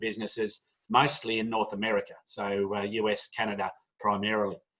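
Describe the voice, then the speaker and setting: The speaker is a man. He has an Australian accent. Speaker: business owner. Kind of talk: online presentation. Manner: fast.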